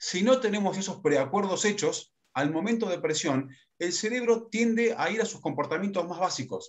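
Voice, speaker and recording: The intonation is lively. The background stays quiet. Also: man, high pitch for a man. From Argentina, Córdoba and Buenos Aires; Argentina. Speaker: leadership consultant and workshop facilitator; workshop facilitator. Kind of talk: workshop lecture. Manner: fast. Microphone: video call.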